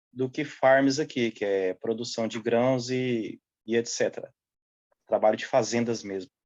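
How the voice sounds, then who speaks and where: Using a normal speaking voice, a man talks at medium pitch and a fairly slow pace with fairly even intonation. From central Brazil (Goiás / Triângulo Mineiro). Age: 30s. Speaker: seasonal farm worker. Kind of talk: interview.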